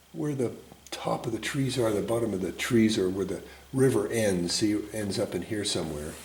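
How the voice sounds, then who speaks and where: A fairly low-pitched man at a moderate pace with ordinary pitch variation, amid noticeable background noise and audible room echo. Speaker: painting instructor. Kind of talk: tutorial. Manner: casual, thinking aloud.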